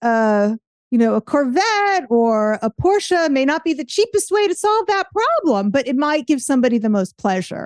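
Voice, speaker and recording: A woman's high voice makes very wide pitch swings in an animated tone. The sound is dry and close, with no echo. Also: moderate pace. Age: 50s. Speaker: artist and business coach. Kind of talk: interview conversation.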